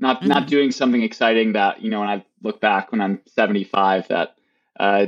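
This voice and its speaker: This man has an ordinary speaking voice, fairly low in pitch. He goes at a moderate pace with fairly even intonation. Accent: American. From Wisconsin, near Milwaukee. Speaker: startup co-founder. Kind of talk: interview.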